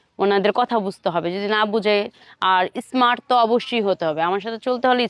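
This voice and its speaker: A woman talks with a fairly high pitch. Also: dry, close sound with no echo, very clean recording, silent background. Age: 20s. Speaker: businesswoman seeking a husband. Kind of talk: street interview.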